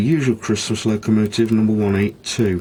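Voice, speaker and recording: At a moderate pace, a man speaks in a somewhat breathy voice with fairly even intonation. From Britain. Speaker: model railway hobbyist. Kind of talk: video narration. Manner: hesitant with fillers.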